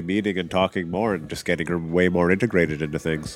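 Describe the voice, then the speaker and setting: On a very clean recording with a silent background, a man with a Canadian accent talks at a fairly quick pace in a very deep, low pitch. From Canadian Prairies, Regina. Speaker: urban farmer. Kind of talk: casual interview. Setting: live at a conference.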